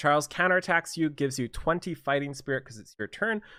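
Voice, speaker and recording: A man's mumbling, bright and sharp in tone. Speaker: gaming youtuber. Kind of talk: game commentary. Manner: halting.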